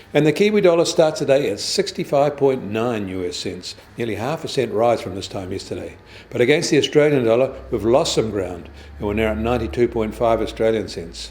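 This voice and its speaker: A man's medium-pitched voice in a New Zealand accent, fairly quick, with very wide pitch swings. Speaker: financial news presenter. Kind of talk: business news bulletin read.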